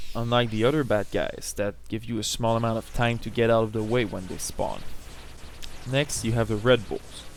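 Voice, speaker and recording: A man's medium-pitched voice in a French Canadian accent, at a moderate pace with fairly even intonation. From French Canada. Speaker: gamer. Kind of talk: video game tutorial narration.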